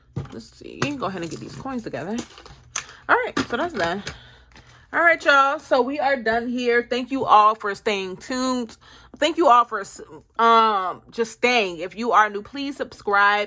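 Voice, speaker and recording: A woman speaks with a fairly high pitch and lively intonation, her tone bright and sharp. Her loudness swings widely. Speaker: budgeting vlogger. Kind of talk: casual vlog. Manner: fast.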